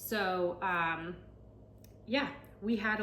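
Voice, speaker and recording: Noticeable background noise and audible room echo both surround a woman's speech. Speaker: realtor and home cook vlogger. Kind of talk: cooking tutorial. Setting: home kitchen. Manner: fast; casual, chatty.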